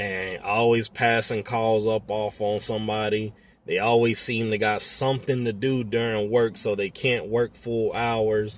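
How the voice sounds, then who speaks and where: A man with an American accent, medium-pitched, flat and monotone, at a fairly slow pace. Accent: Southern US accent, remarked on by a customer. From US South. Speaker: tow truck driver. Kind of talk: casual talk to camera. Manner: casual, profane.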